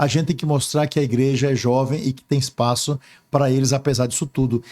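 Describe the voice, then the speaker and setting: At a very fast pace, a man speaks with fairly even intonation and a fairly high pitch. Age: 60s. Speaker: archbishop. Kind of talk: interview. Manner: hesitant fillers.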